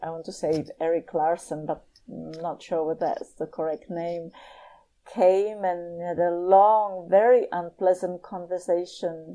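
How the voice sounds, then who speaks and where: A woman with a Czech accent, her fairly low, dark, mellow voice moving at a fairly slow pace with fairly even intonation over a quiet background. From Czech Republic, Prague. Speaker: professor. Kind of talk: interview.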